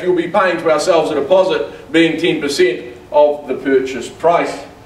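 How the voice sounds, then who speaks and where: A man with a high pitch and fairly even intonation against noticeable background noise. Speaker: auctioneer. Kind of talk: real estate auction opening and terms read. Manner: confident, formal, welcoming.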